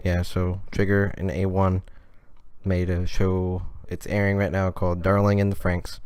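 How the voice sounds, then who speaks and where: The room echo is audible as a man speaks. His pitch is very deep and low, and his intonation is flat and monotone. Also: moderate pace. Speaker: podcast co-host. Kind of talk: casual chat. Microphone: close to the mic, some crackles.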